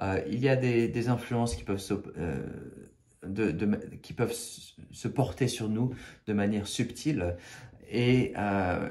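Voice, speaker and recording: This man's voice sits at a fairly low pitch with a dark, mellow tone. It is somewhat breathy, and its pitch varies in an ordinary way. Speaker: spiritual video creator. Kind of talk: spiritual talk to camera. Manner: halting, many fillers and repetitions.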